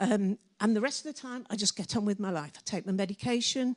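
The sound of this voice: Speaking fast at a medium pitch, a woman uses ordinary pitch variation in a dry, close sound with no echo.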